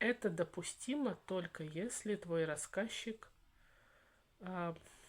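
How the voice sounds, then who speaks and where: The pace is very slow. A woman talks at a medium pitch. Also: ordinary pitch variation. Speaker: channel host on Victorian topics, writer. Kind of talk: interview conversation. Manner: animated.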